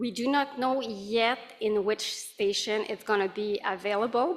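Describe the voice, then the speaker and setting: Fairly high-pitched, a woman speaks with a French accent and fairly even intonation. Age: 40s. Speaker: accessibility advisor. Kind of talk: conference presentation.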